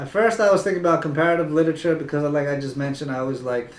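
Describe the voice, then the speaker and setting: Speaking with a Spanish accent, a man uses a fairly high pitch with ordinary pitch variation. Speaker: tutoring company founder. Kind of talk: interview.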